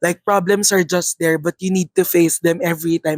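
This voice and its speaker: A woman's fairly low, monotone voice at a fairly quick pace, dry and close with no echo. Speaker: podcast co-host, college student. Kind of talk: casual chat.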